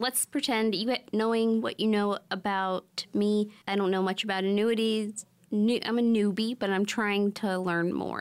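A woman of medium pitch talks at a moderate pace with hardly any pauses. Hers is an unremarkable speaking voice, with fairly even intonation and very even loudness. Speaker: radio host. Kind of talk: radio infomercial pitch, urgent call to action. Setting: studio.

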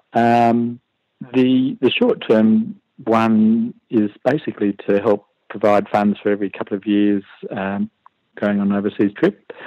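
In an Australian accent, a man with a fairly low pitch and a dark, mellow tone speaks at a fairly slow pace. His intonation is monotone and flat, and the sound is dry and close with no echo. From Western Australia (Perth). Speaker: retired computer programmer, private investor. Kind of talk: interview. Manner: hesitant, many fillers.

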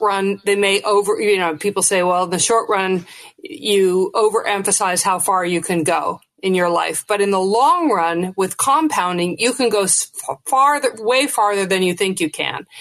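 Here is a woman with an ordinary speaking voice. Her intonation is lively, her loudness very even and her pace moderate. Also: medium pitch for a woman. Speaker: author and former investor. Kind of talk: interview.

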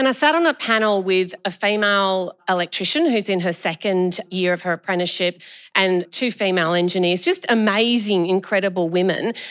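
An enthusiastic woman at a medium pitch, fairly quick and with hardly any pauses, her loudness very even and pitch varying in an ordinary way, on a very clean recording with a silent background. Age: 50s. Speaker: state politician, former nurse. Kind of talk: live panel discussion. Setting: stage with audience.

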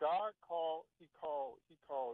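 A man with a Southern US accent talks at a fairly slow pace. His pitch is fairly high, with ordinary pitch variation. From Alabama (Ozark). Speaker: caller. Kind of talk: phone-in debate. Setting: phone call.

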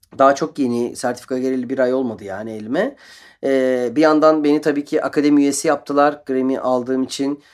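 The recording is very clean, with a silent background. A man with a fairly high pitch talks at a moderate pace in an unremarkable speaking voice. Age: 40s. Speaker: guitarist. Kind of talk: radio interview. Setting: radio studio.

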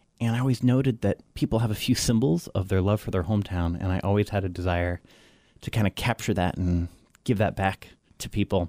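Recorded very cleanly with a silent background and a dry, close sound with no echo, a man speaks fairly quickly at a fairly low pitch, with a dark, mellow tone and ordinary pitch variation. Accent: American. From Florida, then southern France and English boarding school. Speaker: artist and art marketing coach. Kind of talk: interview.

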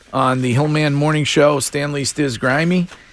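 Noticeable background noise surrounds a man with an American accent. His pitch is fairly high and his intonation fairly even. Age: 50s. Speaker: morning radio host. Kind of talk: casual chat. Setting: studio.

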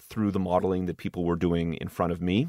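In a Montreal accent, a man speaks with a very deep, low pitch, the sound dry and close with no echo on a very clean recording with a silent background. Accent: Montreal English Canadian. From Montreal, Quebec, Canada. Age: 40s. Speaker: tech startup CEO. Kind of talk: interview conversation.

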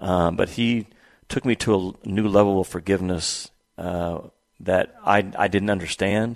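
Against a quiet background, a man with an unremarkable speaking voice talks at a fairly slow pace, his fairly low pitch held in fairly even intonation. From Arkansas (moved from Oklahoma as a teen). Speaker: basketball coach and broadcaster. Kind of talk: interview.

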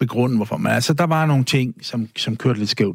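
Somewhat breathy, a man speaks with ordinary pitch variation in a dry, close sound with no echo. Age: 60s. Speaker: guest sharing personal story. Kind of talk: interview. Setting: studio.

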